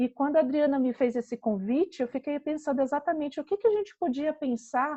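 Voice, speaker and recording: With a Pará accent and a high pitch, a woman speaks over a quiet background. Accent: Pará (northern Brazilian). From northern Brazil, Belém do Pará. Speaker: psychologist. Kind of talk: lecture.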